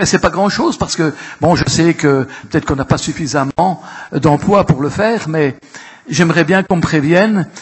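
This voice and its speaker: Against noticeable background noise, a man talks at a fairly quick pace with a fairly high pitch and ordinary pitch variation. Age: 70s. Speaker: local elected councillor. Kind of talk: council assembly speech. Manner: halting, repetitive.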